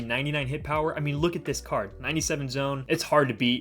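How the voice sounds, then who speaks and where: Over music in the background, a man talks in an energetic tone at a very fast pace. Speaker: gaming youtuber. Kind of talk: gameplay commentary. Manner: casual, energetic.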